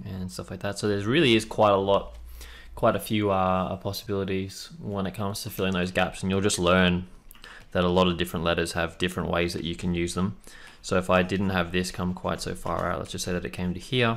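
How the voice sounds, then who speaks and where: With an Australian accent, a man talks at a fairly quick pace in a very deep, low pitch, his intonation fairly even. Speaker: tattoo and lettering artist. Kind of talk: tutorial. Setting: live stream. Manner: casual, friendly. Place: home room.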